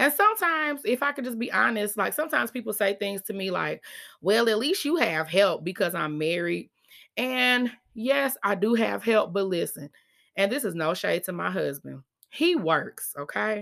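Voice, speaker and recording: Her pitch medium yet swinging very widely, a woman speaks in a bright, sharp tone with vocal fry. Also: moderate pace, very clean recording, silent background. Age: 30s. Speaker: podcast host. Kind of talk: casual monologue. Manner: animated.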